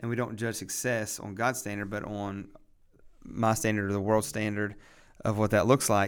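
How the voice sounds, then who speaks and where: A man with an American accent, a fairly low pitch and monotone, flat intonation. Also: moderate pace. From West Virginia. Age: 30s. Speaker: pastor. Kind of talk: casual chat.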